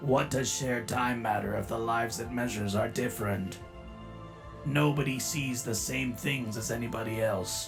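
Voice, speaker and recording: Loud music plays behind a man doing a put-on character voice at a medium pitch and a moderate pace. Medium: dub. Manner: curt, cold, formal.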